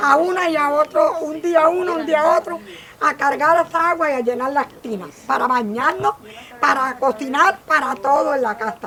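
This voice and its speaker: A woman projects a raised, high-pitched voice at a moderate pace with ordinary pitch variation. Noticeable background noise can be heard. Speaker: elderly workshop participant. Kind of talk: casual chat.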